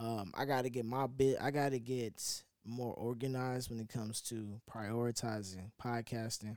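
A man's plain, everyday voice at medium pitch, moderate pace, fairly even intonation and hardly any pauses. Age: 20s. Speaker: podcast host. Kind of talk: casual monologue.

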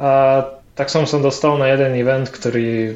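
Medium male pitch, fairly even intonation. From Ukraine. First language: Ukrainian (speaking Slovak). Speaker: frontend developer. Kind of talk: interview.

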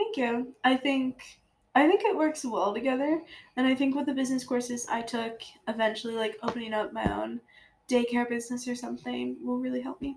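A woman speaks at a fairly quick pace in a high pitch. Her pitch varies in an ordinary way. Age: 20s. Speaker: podcast co-host, college student. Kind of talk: casual chat. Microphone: too far from the mic.

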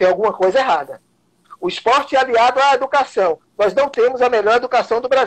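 A man with an extremely high pitch, at a fairly quick pace. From Bahia interior, Vitória da Conquista. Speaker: martial arts grandmaster and council candidate. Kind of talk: interview.

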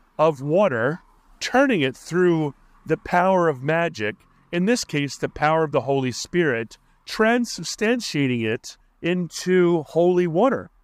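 Speaking with an American accent, a man talks at a very slow pace in a high pitch. His pitch swings very widely, and the recording is very clean with a silent background. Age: 50s. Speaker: podcast host. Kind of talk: solo monologue podcast. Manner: slow, halting speaker.

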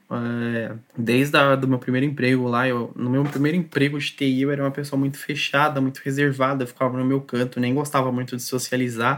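A man at medium pitch talks in a monotone, flat intonation with hardly any pauses. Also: fairly quick pace. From Brazil, São Paulo area (Taboão da Serra). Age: 20s. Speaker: software quality assurance tester. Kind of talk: casual interview chat.

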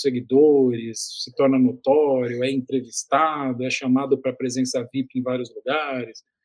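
A man is speaking. His voice sits fairly high in pitch. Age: 50s. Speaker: digital communication consultant. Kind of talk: interview. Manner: hesitant, frequent word repetitions.

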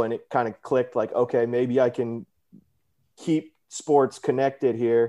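Against a quiet background, a man talks at a fairly slow pace with a medium pitch and monotone, flat intonation. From Houston, Texas. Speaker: sports business manager. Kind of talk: casual interview.

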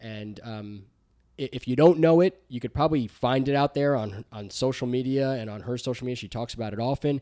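Recorded very cleanly against a silent background with a dry, close sound and no echo, a man with an American accent speaks fairly quickly in a dark, mellow tone at medium pitch, his pitch varying in an ordinary way and his loudness swinging widely. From New Jersey, US. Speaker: podcast co-host. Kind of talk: casual chat and faith testimony. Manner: halting.

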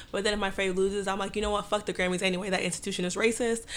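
In a normal speaking voice, a woman with an American accent talks at medium pitch with fairly even intonation. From Dallas, Texas. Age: 20s. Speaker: guest co-host. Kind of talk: casual chat.

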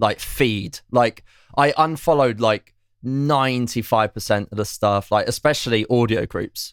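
At a fairly slow pace, a man with an unremarkable speaking voice, medium pitch and ordinary pitch variation is heard in a very clean recording with a silent background and a dry, close sound with no echo. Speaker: music industry guest. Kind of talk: casual chat.

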